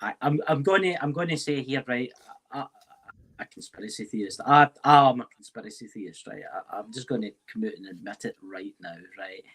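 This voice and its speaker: In a Scottish accent, a man at medium pitch talks at a fairly quick pace with very wide pitch swings and big swings in loudness, the sound dry and close with no echo. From Scotland. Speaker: paranormal investigator. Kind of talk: casual chat.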